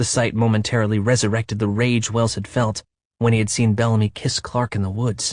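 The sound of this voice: Quiet background behind an unforced reading voice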